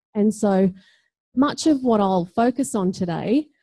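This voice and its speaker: The speaker has an Australian accent and a dark, mellow, somewhat breathy tone with lively intonation. The background is quiet. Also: woman. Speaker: teacher educator and education researcher. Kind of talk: conference talk.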